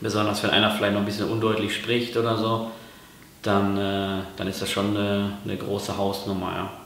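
A man's fairly low, monotone voice with flat intonation, audible room echo and light background noise. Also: moderate pace. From Ruhr area, Germany; Germany. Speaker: YouTuber. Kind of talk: vlog explainer. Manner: hesitant, many fillers. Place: kitchen.

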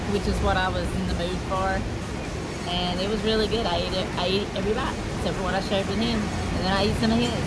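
Fairly quick speech against loud background noise. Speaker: vlogger. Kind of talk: casual vlog chat. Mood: cheerful, relaxed. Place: street. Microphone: lapel.

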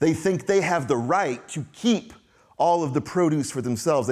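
A man speaks with very wide swings in pitch against a quiet background. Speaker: preacher. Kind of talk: sermon. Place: church.

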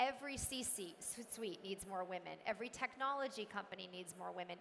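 A woman speaks with ordinary pitch variation at a moderate pace while light background noise plays. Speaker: tech executive. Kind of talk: panel discussion. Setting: stage with audience. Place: stage.

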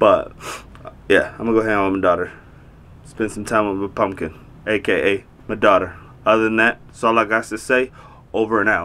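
Here a man speaks in a monotone, flat intonation. His pace is fairly quick. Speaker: vlogger. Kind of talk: casual vlog chat. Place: home room.

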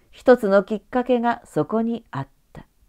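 Moving at a fairly slow pace, the speech keeps a dark, mellow tone. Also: woman. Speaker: narrator. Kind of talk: audiobook reading.

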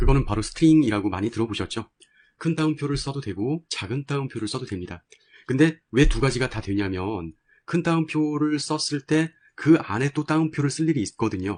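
A man with an ordinary speaking voice talks at a fairly quick pace in a fairly high pitch with lively intonation. The background is quiet, and the sound is dry and close with no echo. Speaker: programming instructor. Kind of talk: tutorial.

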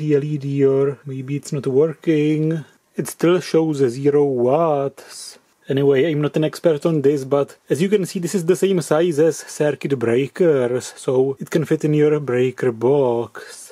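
A man speaks at a fairly slow pace with fairly even intonation and a dark, mellow tone. The background is quiet. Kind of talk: tutorial. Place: workshop. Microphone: camera far.

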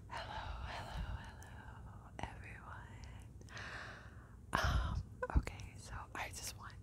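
A woman speaks at a very slow pace. Loud background noise runs behind her. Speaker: ASMR creator. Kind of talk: ASMR whispering to camera. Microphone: lapel.

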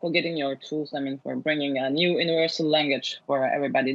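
Over a quiet background, a woman with a very deep, low pitch talks at a very fast pace with fairly even intonation. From Turkey. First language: Turkish. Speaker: film director. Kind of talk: interview. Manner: halting. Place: home room. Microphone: earbuds.

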